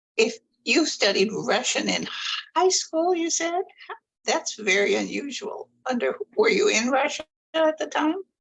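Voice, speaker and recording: Pausing long and often, a woman talks at a fairly slow pace in a high voice with very wide pitch swings. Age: 80s+. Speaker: audience participant, retired administrative assistant. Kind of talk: question to panel.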